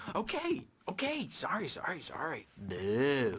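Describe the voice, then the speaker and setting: A man puts on a character voice, talking at a fairly high pitch and a fairly slow pace. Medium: video game. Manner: erratic, taunting.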